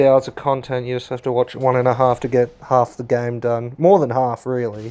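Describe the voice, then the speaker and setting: With an Australian accent, a man speaks in a dark, mellow tone with monotone, flat intonation. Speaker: gaming YouTuber. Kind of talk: gameplay commentary. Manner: rambling, hesitant with fillers.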